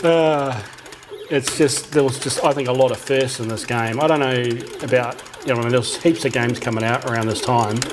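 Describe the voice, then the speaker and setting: The speech comes at a fairly quick pace in an Australian accent. Noticeable background noise runs underneath. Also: man, medium pitch for a man. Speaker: retro gaming youtuber. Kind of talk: casual chat. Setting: at a cocktail arcade cabinet. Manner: relaxed.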